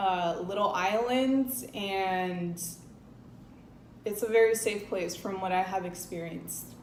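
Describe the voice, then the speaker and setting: At a very slow pace, a woman of medium pitch speaks with ordinary pitch variation amid audible room echo. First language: Spanish. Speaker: travel and lifestyle vlogger. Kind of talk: casual vlog talk to camera.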